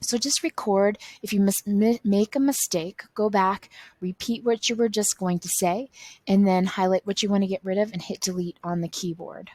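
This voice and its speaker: With ordinary pitch variation and a somewhat breathy quality, a woman speaks at a moderate pace. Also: medium pitch for a woman. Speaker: teacher. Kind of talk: tutorial. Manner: halting.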